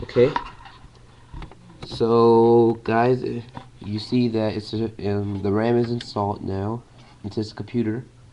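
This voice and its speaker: A man in monotone, flat intonation, with noticeable background noise. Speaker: tech tutorial creator. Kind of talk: casual tutorial talk to camera.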